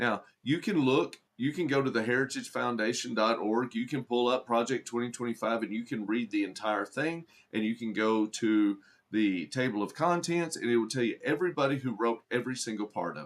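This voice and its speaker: Speaking in a Southern accent, a man keeps a fairly quick pace. His medium-pitched voice moves with ordinary variation. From Arkansas. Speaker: livestreamer and political commentator. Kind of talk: live stream chat with commenters. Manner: conversational, with frequent repetitions and fillers.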